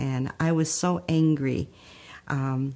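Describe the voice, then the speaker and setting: With a Spanish accent, a woman talks with ordinary pitch variation. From Texas, raised in Holland, Michigan. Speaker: community founder. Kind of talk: life story testimony.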